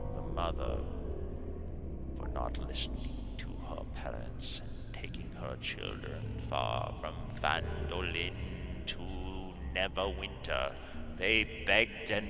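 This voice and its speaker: A man's put-on character voice at a fairly slow pace, with long, frequent pauses over loud background noise. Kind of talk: tragic storytelling monologue. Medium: actual play. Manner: solemn, grave.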